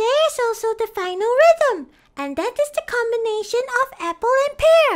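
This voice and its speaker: A squeaky, cartoonish character voice at an extremely high pitch and a moderate pace. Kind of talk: children's educational show. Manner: bright, enthusiastic.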